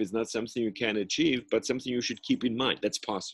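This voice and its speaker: A man speaks at a very fast pace. His pitch sits in the medium range. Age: 70s. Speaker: professor. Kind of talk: interview. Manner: halting.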